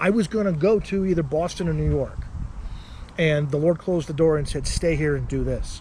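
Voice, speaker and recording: Noticeable background noise sits behind a man with an American accent. His pitch is fairly high and his pace fairly quick. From Arizona, Tucson. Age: 40s. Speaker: political candidate. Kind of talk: interview. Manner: animated.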